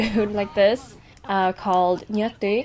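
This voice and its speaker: Over music in the background, a woman speaks at a fairly slow pace with fairly even intonation. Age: 20s. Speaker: travel vlogger. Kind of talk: vlog voiceover narration.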